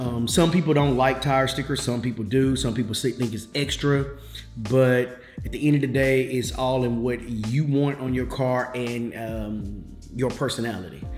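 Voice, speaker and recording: With audible room echo and faint music in the background, a man speaks at a moderate pace with ordinary pitch variation. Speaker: car hobbyist vlogger. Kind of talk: casual vlog chat. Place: kitchen.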